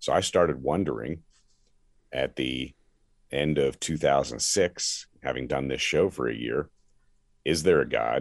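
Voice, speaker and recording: Vocal fry with long, frequent pauses. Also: man, very deep, low pitch for a man, ordinary pitch variation, fairly slow pace. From US Northeast, Philadelphia area. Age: 60s. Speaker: pastor, former sports radio host. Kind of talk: testimony.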